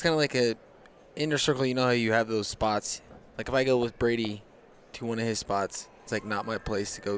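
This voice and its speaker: A man's plain, everyday voice, medium in pitch, fairly quick, with fairly even intonation. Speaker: podcast host, hunter. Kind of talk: casual chat.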